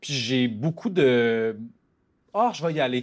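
A man's ordinary speaking voice at medium pitch on a very clean recording with a silent background. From rural Quebec. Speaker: novelist. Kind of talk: interview.

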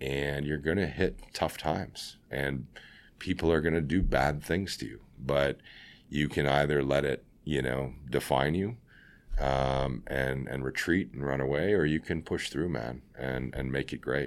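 Recorded very cleanly against a silent background, a man with vocal fry speaks at a fairly slow pace in a very deep, low pitch with ordinary pitch variation. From Ontario, Canada (Scarborough, Toronto). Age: 40s. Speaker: company CEO. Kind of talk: interview.

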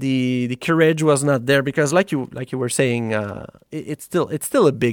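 A man with a Quebec accent at a moderate pace, medium pitch and ordinary pitch variation, in a very clean recording with a silent background and a dry, close sound with no echo. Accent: Québécois French. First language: French. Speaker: software founder. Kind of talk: casual chat.

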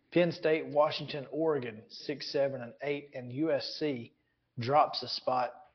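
The speaker has a plain, everyday voice with ordinary pitch variation. The pace is fairly slow. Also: man. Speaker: sports radio host. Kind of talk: casual sports talk.

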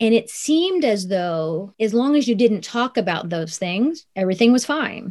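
A woman speaks with an American accent, her pitch fairly high and swinging very widely. She keeps a moderate pace with hardly any pauses. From US Midwest, Columbus, Ohio. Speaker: author and consultant. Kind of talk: interview.

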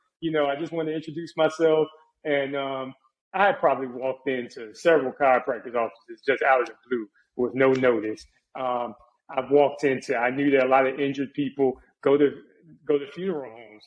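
With an American accent, a man talks in a normal speaking voice at a fairly high pitch and a fairly quick pace, keeping fairly even intonation but making big swings in loudness. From Charlotte, North Carolina. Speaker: personal injury lawyer and Navy veteran. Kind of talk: interview conversation.

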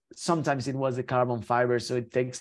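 This man has a Spanish accent. His pitch sits at a medium level. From Mexico. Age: 30s. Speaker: Paralympic skier. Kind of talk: interview. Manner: halting with many repetitions.

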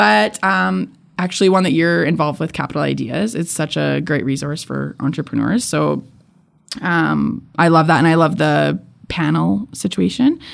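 Speech at a moderate pace, in a Canadian accent. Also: woman. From Edmonton, Alberta, Canada. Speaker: photographer and podcaster. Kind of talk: interview. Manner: casual, with many fillers.

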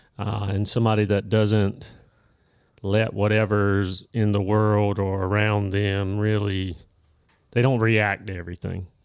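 A man speaks at a fairly slow pace in a fairly low pitch, with monotone, flat intonation. The recording is very clean, with a silent background. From small town. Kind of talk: casual chat. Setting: office. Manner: slow talker.

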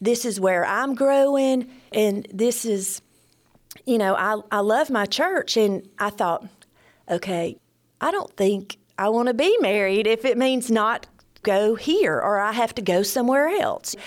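In an Alabama accent, a woman speaks at a fairly slow pace. Her fairly high pitch shows ordinary variation. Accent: US Southern (Alabama). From northwest Alabama, Cherokee area. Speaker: church member. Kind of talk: testimony.

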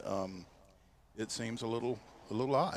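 An unremarkable speaking voice from a man at medium pitch, fairly quick pace, very clean recording, silent background. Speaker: radio sports co-host. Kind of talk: radio sports talk show, interview. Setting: radio studio.

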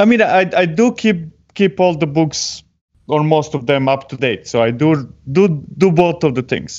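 A man with a non-native accent speaks at a moderate pace. His intonation is lively. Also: fairly high pitch for a man. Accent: foreign-accented English. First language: not English. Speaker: software delivery strategist and tech author. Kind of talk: technical interview chat. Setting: live video stream. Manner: joking.

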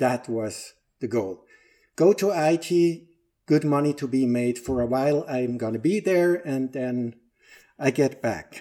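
Speaking fairly slowly with a Swiss German accent, a man uses a medium-pitched voice with a dark, mellow tone and ordinary pitch variation, on a very clean recording with a silent background. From Switzerland, Lake Zurich. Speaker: operations manager and organizational trainer. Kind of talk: casual interview.

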